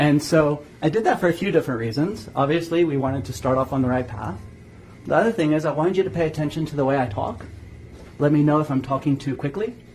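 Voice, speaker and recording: A man talks at a very fast pace, somewhat breathy. His intonation is lively. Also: fairly high pitch for a man. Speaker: hypnosis trainer. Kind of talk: guided visualization; lecture.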